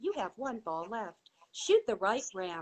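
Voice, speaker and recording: A woman puts on a character voice at a fairly high pitch. She speaks at a fairly slow pace. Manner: robotic announcing.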